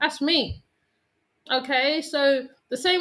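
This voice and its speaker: The woman speaks at a fairly slow pace in a bright, sharp tone. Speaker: YouTuber. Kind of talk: casual monologue to viewers. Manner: calm.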